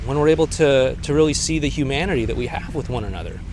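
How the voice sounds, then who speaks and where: Fairly high in pitch, a man speaks at a fairly quick pace. Audible room echo and noticeable background noise surround his voice. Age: 40s. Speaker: relationship coach. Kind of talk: solo video monologue. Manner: casual, with frequent fillers.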